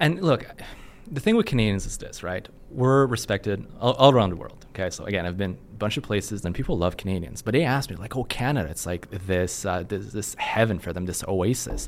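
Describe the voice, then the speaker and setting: Lively in intonation, a man speaks fairly quickly at a fairly low pitch. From Quebec, French Canadian. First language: French. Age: 30s. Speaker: company CEO. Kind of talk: podcast interview.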